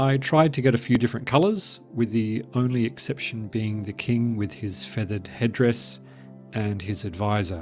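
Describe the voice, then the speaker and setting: A soft-spoken man talks fairly slowly at a medium pitch with lively intonation. Music plays in the background. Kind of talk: game base tour narration. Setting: voice over.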